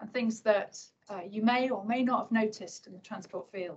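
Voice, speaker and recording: Somewhat breathy, a woman speaks at a fairly high pitch with ordinary pitch variation. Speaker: government transport official. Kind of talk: conference talk. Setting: event room with audience, holding a microphone. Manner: quietly spoken.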